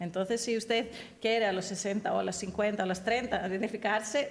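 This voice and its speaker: Speaking fairly quickly in a medium-pitched voice, a woman talks with a non-native accent. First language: not Spanish (speaking Spanish). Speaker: human rights advocate, conference speaker. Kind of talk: panel discussion, answering audience. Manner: halting, many false starts.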